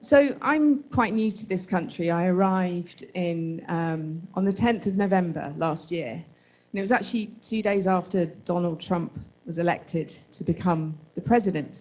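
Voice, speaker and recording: Speaking at a moderate pace with a British accent, a woman keeps a medium pitch and lively intonation. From Britain. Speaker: audience member. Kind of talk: audience question. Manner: halting.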